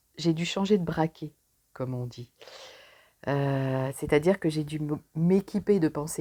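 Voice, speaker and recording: A woman speaks with a dark, mellow tone at a fairly low pitch. Her intonation is lively. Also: very clean recording, silent background. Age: 60s. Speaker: pharmacist, coaching client. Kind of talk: testimony.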